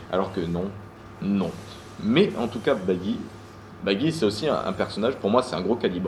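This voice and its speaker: A man talks fairly quickly and with lively intonation, noticeable noise sounding behind him. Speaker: manga review youtuber. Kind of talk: casual solo video review. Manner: fast; hesitant, many fillers and repeats.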